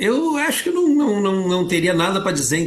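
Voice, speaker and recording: The pitch moves in an ordinary way. A man delivers his words at a fairly quick pace. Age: 60s. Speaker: film editor and teacher. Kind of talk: interview.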